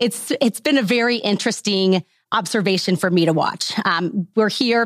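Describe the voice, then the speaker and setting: An American accent with ordinary pitch variation, in a dry, close sound with no echo. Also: woman. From US Midwest, central Missouri. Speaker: bike company employee. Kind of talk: interview.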